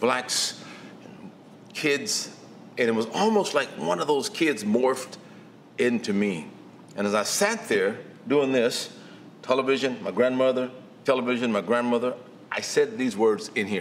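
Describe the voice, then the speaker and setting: Speaking at a fairly slow pace with long, frequent pauses, a man uses a medium pitch that swings very widely, and audible room echo surrounds his voice. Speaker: guest preacher. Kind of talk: sermon.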